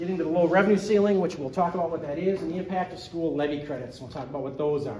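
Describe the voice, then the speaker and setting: A high-pitched man speaks at a very fast pace with big swings in loudness. Noticeable background noise runs behind him. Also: ordinary pitch variation. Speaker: school district business director. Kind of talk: presentation.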